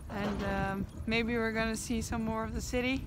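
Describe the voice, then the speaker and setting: A woman at a moderate pace with monotone, flat intonation, a dry sound with no echo, and music in the background. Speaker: travel vlogger. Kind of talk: casual vlog chat. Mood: cheerful, relaxed. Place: street. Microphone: phone near.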